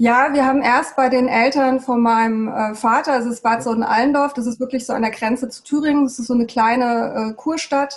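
A woman talks fairly quickly in a high, flat monotone. She hardly pauses at all. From Germany, Hesse (Darmstadt), born in Peru. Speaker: architect, TEDx organizer. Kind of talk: interview. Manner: halting, many fillers.

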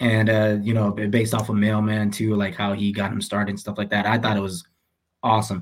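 This man has a fairly low pitch and an ordinary speaking voice. He speaks at a fairly quick pace. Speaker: podcast co-host. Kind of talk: casual chat.

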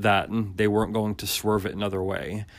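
Music plays in the background as a man talks at a moderate pace. His pitch sits fairly low. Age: 30s. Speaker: wrestling podcast host. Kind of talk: casual solo commentary. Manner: many fillers, conversational.

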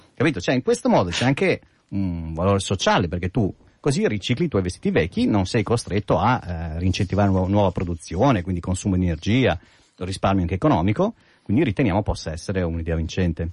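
The voice is somewhat breathy and moves at a very fast pace over a quiet background. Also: man, very deep, low pitch for a man, ordinary pitch variation. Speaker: app developer, regular guest. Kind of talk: casual chat. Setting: radio studio. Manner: joking, humorous.

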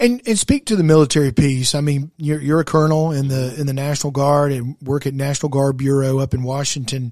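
A man with an American accent, a fairly high pitch, fairly even intonation, a very fast pace and hardly any pauses. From South Carolina, West Columbia. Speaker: podcast host, charter school advocate. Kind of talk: interview.

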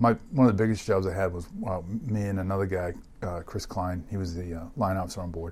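A man with a very deep, low pitch talks at a fairly quick pace, somewhat breathy, with fairly even intonation. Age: 50s. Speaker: hospital CEO and Navy veteran. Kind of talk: interview. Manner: hesitant, many fillers.

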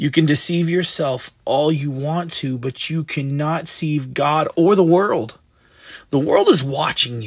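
At a fairly slow pace, a man talks in a somewhat breathy voice with a fairly high pitch and ordinary pitch variation. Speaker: devotional host. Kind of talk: devotional talk with prayer. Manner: informal, conversational.

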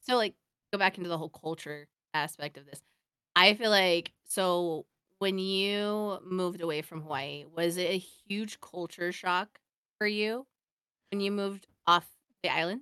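A woman with an American accent speaks at a fairly slow pace and medium pitch in a bright, sharp tone, with ordinary pitch variation, big swings in loudness, and long, frequent pauses, all dry and close with no echo. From Oregon, US. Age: 30s. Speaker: podcast co-host. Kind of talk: casual chat.

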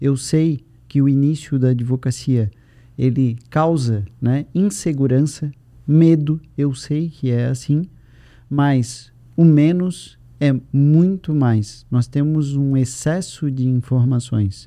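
Speaking at a very slow pace, a man has a dark, mellow tone, a fairly high pitch and ordinary pitch variation. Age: 40s. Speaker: lawyer and educator for lawyers. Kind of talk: interview conversation.

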